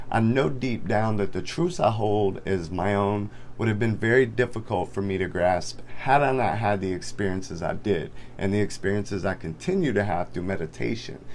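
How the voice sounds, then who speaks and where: There's vocal fry in this man's fairly low-pitched voice. He speaks at a moderate pace with ordinary pitch variation. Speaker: spiritual content creator. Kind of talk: casual talk to camera.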